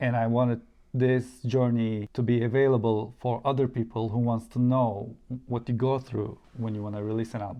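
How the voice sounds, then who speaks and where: A man with a Turkish accent speaks at a moderate pace in a monotone, flat intonation. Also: medium pitch for a man. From Turkey. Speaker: musician and YouTuber. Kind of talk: interview.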